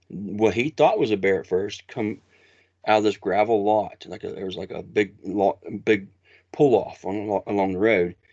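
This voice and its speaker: A man speaks in an Appalachian accent with a fairly low pitch. His pace is fairly slow and the background is quiet. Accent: Appalachian American. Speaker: Bigfoot researcher. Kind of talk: interview storytelling. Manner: halting, many restarts.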